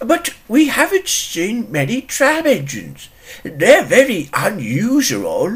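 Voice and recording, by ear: A put-on character voice, fairly high in pitch, moves at a fairly slow pace.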